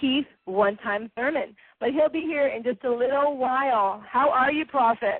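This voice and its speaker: A woman speaks at a high pitch with ordinary pitch variation. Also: moderate pace. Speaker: boxing radio host. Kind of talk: internet radio show hosting. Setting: internet radio broadcast. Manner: stumbles over names.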